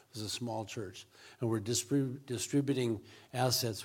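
Somewhat breathy, the voice moves at a fairly quick pace with an American accent. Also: man. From US Pacific Northwest. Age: 60s. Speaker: missionary. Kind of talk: interview. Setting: church.

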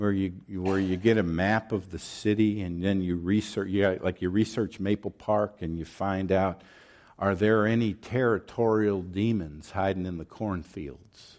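A man with an American accent talks at a moderate pace in a fairly low pitch. The recording is very clean, with a silent background. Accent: Southern US, comes out at times. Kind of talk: sermon. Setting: church.

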